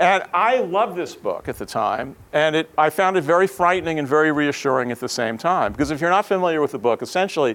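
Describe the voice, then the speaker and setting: A normal speaking voice from a man with an American accent, fairly high in pitch and lively in intonation, in a very clean recording with a silent background. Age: 60s. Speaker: professor. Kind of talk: lecture.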